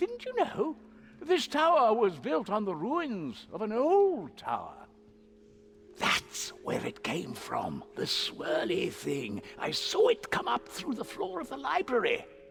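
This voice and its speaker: A fairly high, put-on character voice delivers its lines at a fairly slow pace. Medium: video game. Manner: rambling, scatterbrained.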